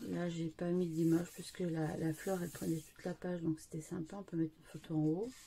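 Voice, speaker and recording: Fairly low-pitched, somewhat breathy woman at a fairly quick pace, with hardly any pauses and fairly even intonation. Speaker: scrapbooking youtuber. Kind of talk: tutorial. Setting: at home. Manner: soft-spoken; halting, many fillers.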